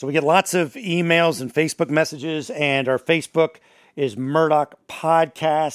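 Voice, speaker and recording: A man speaks at a moderate pace with a fairly high pitch and ordinary pitch variation. The recording is very clean, with a silent background and a dry, close sound free of echo. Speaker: radio host. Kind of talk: casual podcast discussion. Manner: animated.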